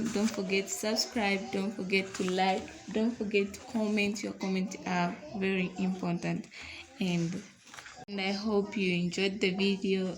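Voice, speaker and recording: Over noticeable background noise, a woman with a non-native accent speaks at a fairly slow pace in a medium pitch with monotone, flat intonation. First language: not English. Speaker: online tutor. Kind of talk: tutorial.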